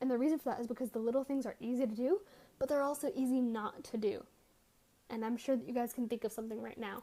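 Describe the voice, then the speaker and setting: A woman's dark, mellow tone at a high pitch, with ordinary pitch variation and a very fast pace. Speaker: life coach vlogger. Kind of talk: casual talk to camera. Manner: animated.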